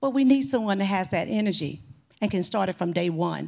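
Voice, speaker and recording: At a fairly quick pace, a woman with medium pitch and lively intonation speaks in a very clean recording with a silent background. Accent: Southern US. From Mississippi, Gulfport. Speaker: mayoral candidate, property assessor. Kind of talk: candidate forum debate. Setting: stage with audience.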